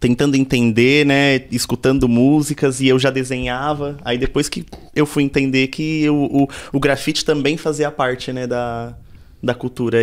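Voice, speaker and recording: A man with a São Paulo accent speaks at a moderate pace, his medium pitch showing ordinary variation. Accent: Paulistano Brazilian Portuguese. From São Paulo south zone, Brazil. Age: 30s. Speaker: DJ. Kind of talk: interview.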